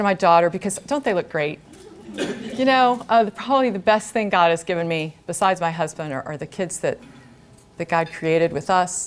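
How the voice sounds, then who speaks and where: Lively intonation over noticeable background noise. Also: woman. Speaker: guest speaker, former teacher. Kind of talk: talk to an audience. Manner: loud.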